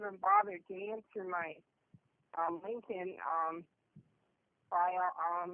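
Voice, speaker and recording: A woman speaks at a moderate pace. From Canada. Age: 60s. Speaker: former home care worker. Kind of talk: interview answer.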